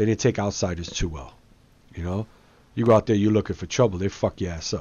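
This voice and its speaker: A man with an East Coast accent speaks in a fairly low pitch. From Brooklyn, New York. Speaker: gaming YouTuber. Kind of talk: casual chat over gameplay. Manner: casual, slangy.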